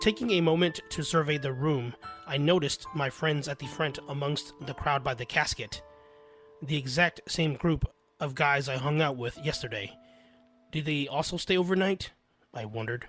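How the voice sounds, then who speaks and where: Raspy speech comes in a put-on character voice at a moderate pace. Music plays in the background. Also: man, fairly high pitch for a man. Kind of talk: spooky first-person storytelling. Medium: read story.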